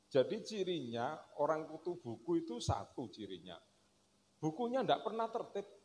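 A fairly high-pitched man with a Javanese accent and vocal fry, moderate in pace, with very wide pitch swings and light background noise. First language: Javanese (speaking Indonesian). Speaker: speaker. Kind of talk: religious lecture and kitab reading. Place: stage. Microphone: handheld.

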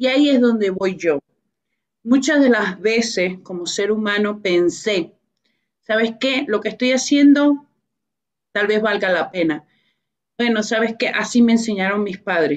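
Over a quiet background, a woman speaks fairly slowly at a fairly high pitch with ordinary pitch variation and long, frequent pauses. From Venezuela. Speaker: author and business professional; guest. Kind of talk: radio interview. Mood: earnest, faith-inspired. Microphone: video call.

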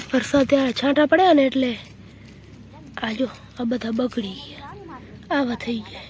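Noticeable background noise accompanies a woman whose voice is high in pitch with ordinary variation. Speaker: village vlogger. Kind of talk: casual vlog talk. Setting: outdoors in cotton field.

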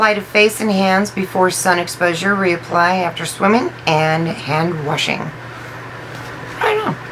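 There is noticeable background noise as a woman speaks at a very slow pace. She leaves hardly any pauses. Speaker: beauty vlogger. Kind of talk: casual product unboxing video. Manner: animated, enthusiastic. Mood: enthusiastic, impressed. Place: home room. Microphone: phone near.

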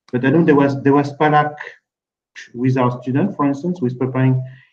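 Against a quiet background, a man with a French accent speaks with fairly even intonation. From France. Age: 50s. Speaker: admissions consulting founder. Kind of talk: webinar panel discussion. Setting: video call. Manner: halting. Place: office.

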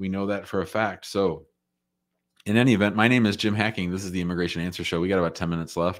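Over a quiet background, a man with an American accent speaks very fast, his very deep, low voice keeping a fairly even intonation. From United States. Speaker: immigration lawyer. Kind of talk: live call-in Q&A show. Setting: office, live stream. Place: home room. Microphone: studio mic.

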